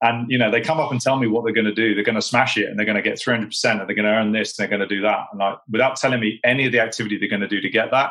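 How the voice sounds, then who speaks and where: Very fast and bright, a man's medium-pitched voice comes across with a sharp tone and fairly even intonation. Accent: British. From Britain. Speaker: sales executive. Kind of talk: podcast interview.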